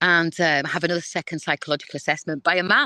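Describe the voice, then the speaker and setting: Loud and at a very fast pace, a woman with a fairly low pitch and a bright, sharp tone speaks in a dry, close sound with no echo against a quiet background. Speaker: guest sharing life story. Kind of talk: testimony. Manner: animated.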